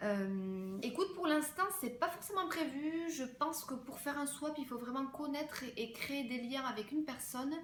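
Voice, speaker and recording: A woman's high voice at a moderate pace, with audible room echo. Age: 20s. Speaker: fashion and beauty vlogger. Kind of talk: casual Q&A vlog. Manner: hesitant, many fillers.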